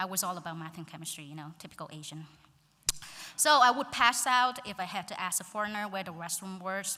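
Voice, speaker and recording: Speaking very fast with a Vietnamese accent, a woman uses a medium pitch, lively intonation and big swings in loudness. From central Vietnam (Quang Ngai). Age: 20s. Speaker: graduating student speaker. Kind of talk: graduation speech.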